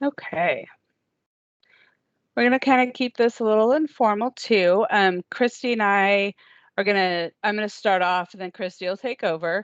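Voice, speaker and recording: A woman talks in an ordinary speaking voice with ordinary pitch variation. The sound is dry and close with no echo, against a quiet background. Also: medium pitch for a woman, moderate pace. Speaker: transportation agency staff presenting training. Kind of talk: training presentation. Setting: video call.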